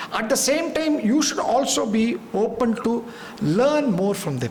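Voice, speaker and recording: Over noticeable background noise and audible room echo, a man talks in a high pitch with lively intonation. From India, Tamil Nadu. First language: Tamil. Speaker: business executive, seminar speaker. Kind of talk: lecture. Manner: halting.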